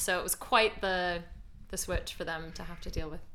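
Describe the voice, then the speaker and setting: A woman speaks in a fairly low pitch with a non-native accent and a bright, sharp tone. Room echo is audible. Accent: non-British accent, does RP in role. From outside the UK. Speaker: actor. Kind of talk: interview.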